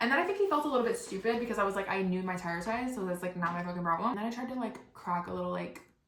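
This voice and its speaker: Speech comes at a very fast pace in an animated tone, with ordinary pitch variation. Noticeable background noise and audible room echo fill the recording. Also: woman. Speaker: podcast host. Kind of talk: storytelling monologue.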